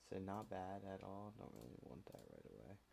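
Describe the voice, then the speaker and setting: At a fairly slow pace, a man speaks with a very deep, low pitch and a dark, mellow tone, with ordinary pitch variation. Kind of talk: casual screen-recording commentary. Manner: casual, hesitant.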